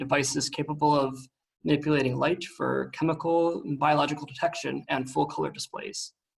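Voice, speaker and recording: Very fast and monotone with flat intonation, a man with an American accent talks at a fairly high pitch with vocal fry. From United States. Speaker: researcher. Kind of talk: seminar talk.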